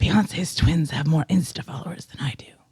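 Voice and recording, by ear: A gravelly, put-on character voice at middle pitch delivers lines at a fairly quick pace.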